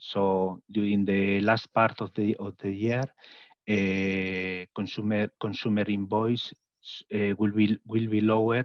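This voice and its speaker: A man with a Spanish accent, fairly low in pitch, very slow, with monotone, flat intonation. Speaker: consumer organization representative. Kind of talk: webinar presentation. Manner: halting.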